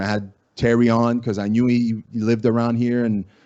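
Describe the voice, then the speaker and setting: A man is talking here. The pitch of his voice is medium. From Acadia, Atlantic Canada. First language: French (Acadian). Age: 40s. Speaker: podcaster and former MMA fighter. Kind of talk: casual interview chat.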